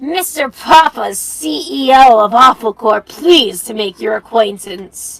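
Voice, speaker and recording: A woman performs a put-on character voice at a fairly high pitch. She goes at a fairly slow pace with hardly any pauses. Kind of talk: formal, businesslike. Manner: smarmy, pompous.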